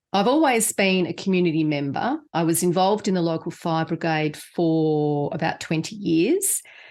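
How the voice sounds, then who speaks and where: A woman with an Australian accent and fairly low pitch talks at a moderate pace with hardly any pauses, ordinary pitch variation and very even loudness, in a very clean recording with a silent background. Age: 60s. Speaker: podcast co-host, patient advocate. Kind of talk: casual podcast conversation.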